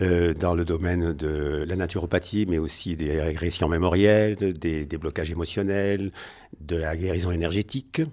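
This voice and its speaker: With a Marseille accent, a man speaks in a very deep, low voice of dark, mellow tone, his intonation fairly even. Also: moderate pace. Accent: Marseille accent, kept. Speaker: naturopath and energy therapist. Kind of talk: radio interview. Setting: at his home.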